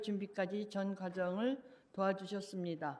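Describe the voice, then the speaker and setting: With a Korean accent, a woman speaks at a moderate pace, her medium pitch held in fairly even intonation. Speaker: public commenter. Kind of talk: public comment speech. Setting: city council meeting.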